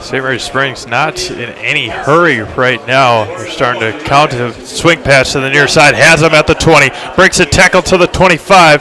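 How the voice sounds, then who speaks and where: With music in the background, a man talks at a moderate pace and a fairly high pitch. He uses ordinary pitch variation and hardly any pauses. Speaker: football play-by-play announcer. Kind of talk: live sports commentary, play-by-play. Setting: stadium broadcast booth.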